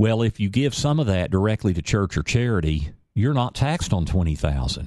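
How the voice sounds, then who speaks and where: In a normal speaking voice, a man with a fairly low pitch talks at a fairly quick pace, the sound dry and close with no echo over a quiet background. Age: 50s. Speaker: radio host and financial advisor. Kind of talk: radio talk show, financial advice. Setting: radio studio.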